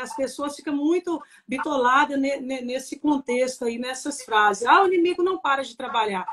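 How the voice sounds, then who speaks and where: A woman's high voice varies in pitch in a normal way as she talks at a moderate speed. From Minas Gerais, Brazil (Papagaios). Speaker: pastor's wife, pastor. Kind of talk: testimony. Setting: live stream.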